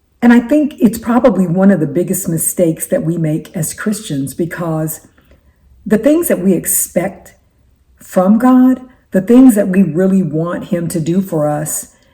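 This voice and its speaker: Speaking at a fairly slow pace, a woman with a medium pitch and a dark, mellow tone sounds somewhat breathy, her intonation lively. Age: 60s. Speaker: faith-based life coach and YouTuber. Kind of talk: casual talk to camera. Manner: halting, with frequent repetitions.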